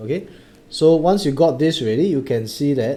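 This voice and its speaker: His tone dark and mellow, a man at medium pitch moves at a moderate pace with very wide pitch swings. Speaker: maths tutor. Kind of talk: online lesson. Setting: Facebook live stream.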